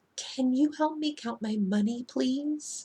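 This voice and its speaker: A woman uses a put-on character voice at a high pitch. She is soft-spoken and talks at a fairly slow pace. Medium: read story. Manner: polite, soft-spoken.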